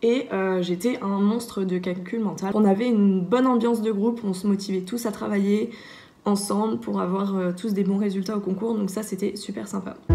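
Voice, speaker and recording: The voice is somewhat breathy, with a dark, mellow tone and fairly even intonation. It moves at a moderate pace, with audible room echo. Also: woman. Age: 20s. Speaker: engineering student. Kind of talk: testimony. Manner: hesitant, many filler sounds.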